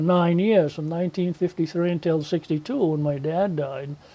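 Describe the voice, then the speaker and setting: His tone dark and mellow, a man speaks at a high pitch and a moderate pace. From Maine, western mountains. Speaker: local old-timer interviewee. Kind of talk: interview, reminiscing. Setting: TV program.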